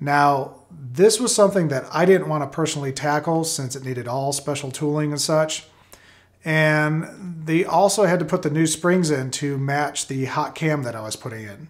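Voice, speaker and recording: A man at a moderate pace, with ordinary pitch variation, big swings in loudness and a quiet background. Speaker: car hobby channel host. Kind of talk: tutorial. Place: home room.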